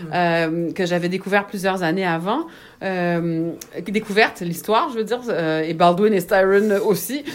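This woman speaks with a Quebec accent at a fairly slow pace. Her pitch is medium, with ordinary variation. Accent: Québécois French. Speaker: writer and magazine editor. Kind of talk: casual interview. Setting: at home, in a small smoking room.

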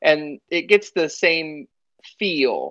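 Against a quiet background, a man with a Texan accent speaks in a fairly high pitch and a bright, sharp tone. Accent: Texan American English. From North Texas. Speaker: wargaming hobbyist. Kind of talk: casual chat.

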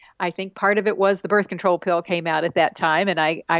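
Fairly low in pitch, a woman with a plain, everyday voice and an American accent talks at a fairly quick pace with fairly even intonation. The sound is dry and close with no echo, over a quiet background. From West Texas. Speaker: author and women's rights activist. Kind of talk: interview.

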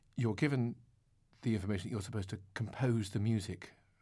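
This male voice has a dark, mellow tone and is somewhat breathy. The pitch sits in the medium range. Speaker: interviewer. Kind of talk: interview.

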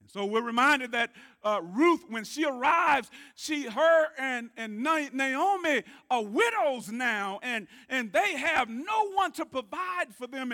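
Raising and projecting his voice, a man speaks fairly slowly at an extremely high pitch in an animated, bright, sharp tone, with very wide pitch swings. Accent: Southern US. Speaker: preacher. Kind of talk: sermon. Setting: church. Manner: call-and-response.

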